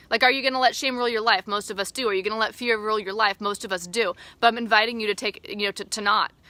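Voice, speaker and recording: A woman's fairly high, bright, sharp voice at a very fast pace, dry and close with no echo, on a very clean recording with a silent background. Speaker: life coach. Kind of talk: casual live video talk. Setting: outdoors, backyard. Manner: animated.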